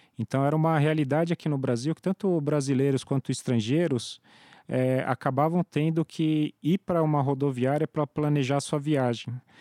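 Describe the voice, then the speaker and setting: A man with an unremarkable speaking voice, fairly high in pitch, at a moderate pace, with fairly even intonation, very even loudness, and a dry, close sound with no echo. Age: 30s. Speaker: startup founder. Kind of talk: interview.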